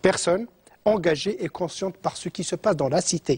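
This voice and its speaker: Dark and mellow yet high-pitched, a man's voice moves at a fairly quick pace. The sound is dry and close with no echo, in a very clean recording with a silent background. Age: 60s. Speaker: economist and professor. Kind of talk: TV interview.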